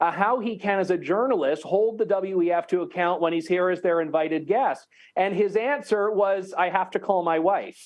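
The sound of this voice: A man talks at a moderate pace in a high pitch.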